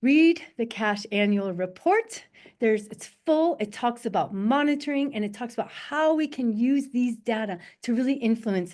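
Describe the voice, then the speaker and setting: A woman with an ordinary speaking voice, fairly high pitch, lively intonation and a moderate pace against a quiet background. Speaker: soil scientist. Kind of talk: conference presentation. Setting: webinar.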